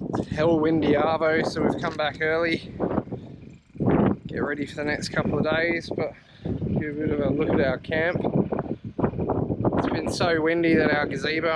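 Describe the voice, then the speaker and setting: Loud background noise surrounds a man speaking at a moderate pace in a dry sound with no echo. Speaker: fishing vlogger. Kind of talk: casual vlog chat. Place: beach. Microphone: phone near.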